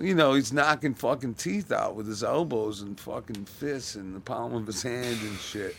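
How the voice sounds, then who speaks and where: Barely pausing, a man talks at a moderate pace and medium pitch with lively intonation in an ordinary speaking voice. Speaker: podcast co-host. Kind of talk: casual chat. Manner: crude, laid-back.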